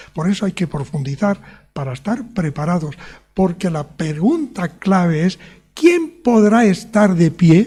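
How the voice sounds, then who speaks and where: A man speaks at a fairly slow pace, his pitch high and his intonation lively. His tone is dark and mellow. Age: 70s. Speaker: preacher. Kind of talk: sermon.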